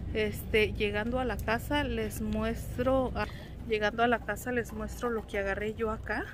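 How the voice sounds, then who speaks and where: A woman speaks fairly slowly in a dry sound with no echo. Noticeable background noise is present. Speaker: homemaker vlogger. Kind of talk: casual vlog chat. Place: shop. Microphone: phone near.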